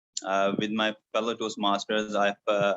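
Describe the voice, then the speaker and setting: This man talks at a moderate pace in a fairly low voice. His intonation stays flat and monotone. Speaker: toastmasters club member. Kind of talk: impromptu speech. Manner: halting.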